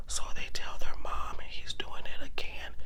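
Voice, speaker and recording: Over noticeable background noise, someone whispers at a fairly slow pace. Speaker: ASMR storyteller. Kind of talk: true crime story retelling, casual. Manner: soft-spoken, whispered.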